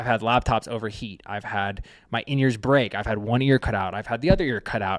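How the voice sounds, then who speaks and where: In a very clean recording with a silent background, a man with an ordinary speaking voice talks at a medium pitch with ordinary pitch variation. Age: 30s. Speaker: touring drummer and drum-gear founder. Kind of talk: casual interview chat.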